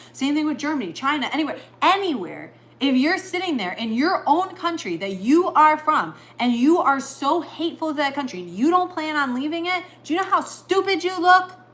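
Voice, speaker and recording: Over noticeable background noise, a woman speaks at a fairly quick pace in a high pitch, her tone animated and her intonation lively. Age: 50s. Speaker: livestreamer. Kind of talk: casual chat; opinion rant.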